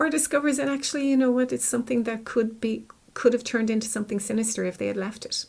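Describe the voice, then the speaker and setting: A woman with an Irish accent, talking at a very fast pace. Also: fairly high pitch for a woman, ordinary pitch variation. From Ireland. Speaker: clinical psychologist. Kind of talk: interview.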